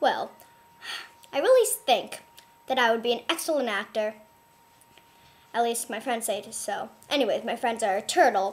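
A cartoonish character voice that sounds female uses a fairly high pitch at a moderate pace, broken by long, frequent pauses. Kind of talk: comedic puppet interview.

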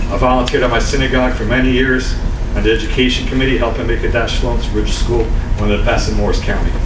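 A man talks very fast in an American accent, with noticeable background noise around him. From New Jersey. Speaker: town councilman running for mayor. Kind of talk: campaign speech. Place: hall. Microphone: podium.

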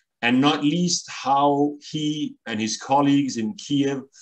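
Over a quiet background, a man's voice is heard. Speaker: event moderator. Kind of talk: formal introduction of a guest. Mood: formal, measured. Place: home room. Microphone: video call.

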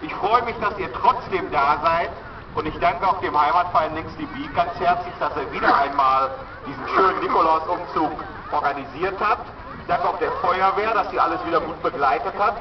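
Over noticeable background noise, a man speaks in a high voice at a moderate pace with ordinary pitch variation. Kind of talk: public welcome speech. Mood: warm, cheerful. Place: market.

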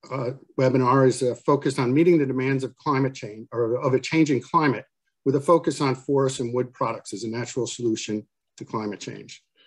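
A man keeps his intonation fairly even and his pace fairly quick, with a quiet background behind him. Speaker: panel chair, webinar host. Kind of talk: speaker introductions. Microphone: video call.

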